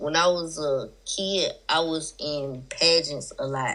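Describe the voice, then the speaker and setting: The speaker has a strong Southern US accent. Pitch moves in an ordinary way. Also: woman. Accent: thick Southern US. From South Carolina. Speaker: rapper. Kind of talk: interview.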